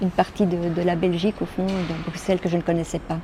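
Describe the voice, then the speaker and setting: A woman with a fairly low pitch speaks in a monotone, flat intonation against noticeable background noise. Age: 60s. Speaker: social home help worker. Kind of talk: interview testimony. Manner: halting.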